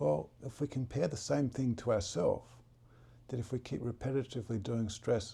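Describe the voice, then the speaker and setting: The voice has a dark, mellow tone with vocal fry, moving at a moderate pace with lively intonation. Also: man. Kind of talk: guided relaxation talk about stress and breathing.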